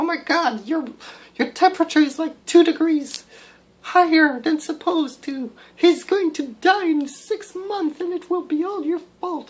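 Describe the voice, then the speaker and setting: This is a put-on character voice. Its pitch is extremely high. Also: moderate pace. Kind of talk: exaggerated worried voice. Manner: mocking, overdramatic.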